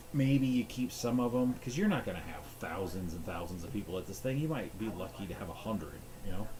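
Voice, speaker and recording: A man with lively intonation and hardly any pauses, in audible room echo. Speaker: gaming streamer. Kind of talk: casual rambling monologue. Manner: halting.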